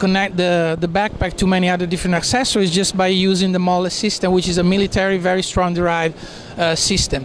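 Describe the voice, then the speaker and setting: A man with a high pitch at a very fast pace, monotone and flat, very even in loudness, dry with no echo, light background noise behind. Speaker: presenter. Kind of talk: product presentation. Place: hall. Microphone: handheld.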